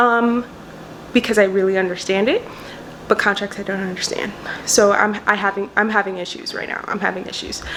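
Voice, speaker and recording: A woman talks at a fairly quick pace, with long, frequent pauses and big swings in loudness. Noticeable background noise runs under the recording. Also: medium pitch for a woman, fairly even intonation. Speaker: law student vlogger. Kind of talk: casual vlog. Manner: fast.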